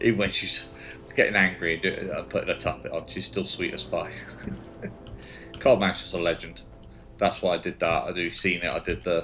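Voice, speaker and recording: A man talks at a moderate pace with long, frequent pauses while music plays in the background. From Britain. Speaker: gaming livestreamer. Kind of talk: casual chat. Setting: livestream.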